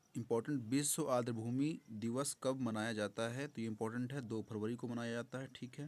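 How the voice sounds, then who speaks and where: Speaking at a moderate pace, a man keeps his intonation fairly even in a very clean recording with a silent background. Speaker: exam prep teacher. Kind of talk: revision lecture. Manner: loud.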